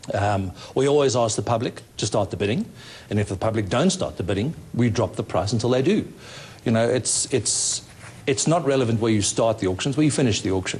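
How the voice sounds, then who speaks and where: Somewhat breathy, a man speaks at a fairly quick pace with ordinary pitch variation and very even loudness. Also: medium pitch for a man. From South Africa. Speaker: property auctioneer. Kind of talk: interview answer. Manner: casual, conversational.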